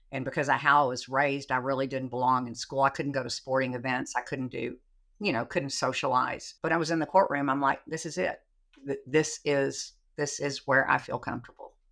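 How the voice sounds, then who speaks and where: A woman with a Texan accent speaks at a fairly quick pace in a very deep, low voice, keeping her intonation fairly even. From Texas, Sherman. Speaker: trial lawyer. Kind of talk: casual chat.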